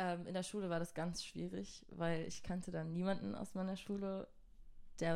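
Speaking at a moderate pace, a woman uses a fairly low pitch, a dark, mellow tone and fairly even intonation. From southern Germany (Göppingen near Stuttgart). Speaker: singer-songwriter. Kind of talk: casual interview. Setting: studio.

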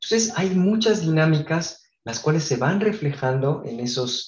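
A man's voice is somewhat breathy. His intonation is lively. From Mexico, Guadalajara. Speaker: architect. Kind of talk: interview. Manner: hesitant fillers.

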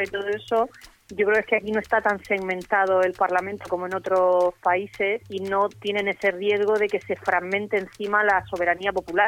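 A woman's medium-pitched, monotone, flat delivery at a fairly quick pace with hardly any pauses. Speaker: radio co-host. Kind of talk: casual chat.

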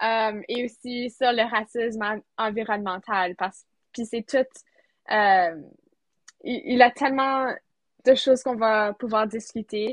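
At a very slow pace with long, frequent pauses, a woman speaks at a fairly high pitch with fairly even intonation. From rural Manitoba, Canada (near Sainte-Anne). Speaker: student podcast co-host. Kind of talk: casual chat.

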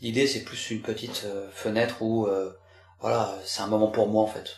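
With audible room echo, a man speaks at a fairly slow pace in a fairly low, somewhat breathy voice with monotone, flat intonation. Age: 40s. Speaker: gamer and father. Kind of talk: interview testimony.

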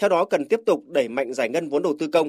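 A man with a normal speaking voice and fairly high pitch speaks with ordinary pitch variation in a dry, close sound with no echo. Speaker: news reporter. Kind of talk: news report. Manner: formal.

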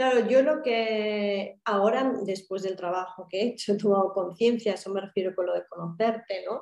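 At a moderate pace and with hardly any pauses, a woman talks at a medium pitch with ordinary pitch variation. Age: 30s. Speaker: therapy client sharing her story. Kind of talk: personal testimony in interview.

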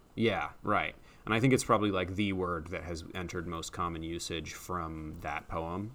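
Room echo is audible. The delivery keeps a moderate pace and fairly even intonation. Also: man, very deep, low pitch for a man. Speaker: podcast co-host. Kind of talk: casual chat.

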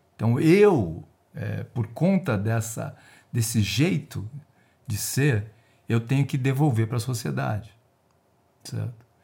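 With vocal fry and a dark, mellow tone, a man speaks at a very slow pace and medium pitch, his intonation lively and his speech broken by long, frequent pauses. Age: 60s. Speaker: retired risk analyst and geoscience researcher. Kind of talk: casual interview.

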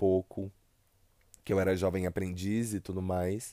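In a São Paulo accent, a man with a dark, mellow tone and fairly low pitch talks at a moderate pace, dry and close with no echo, on a very clean recording with a silent background. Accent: São Paulo (paulista). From São Paulo state, Brazil. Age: 20s. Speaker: podcaster. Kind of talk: solo monologue. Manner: casual, rambling with hesitations.

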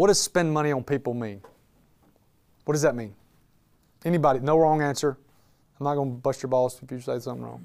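Speaking with a Southern US accent, a man at medium pitch talks at a very fast pace with ordinary pitch variation, big swings in loudness and long, frequent pauses. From Alabama, Birmingham. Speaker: business owner and speaker. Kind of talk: talk to a live audience. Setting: room with live audience. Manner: animated.

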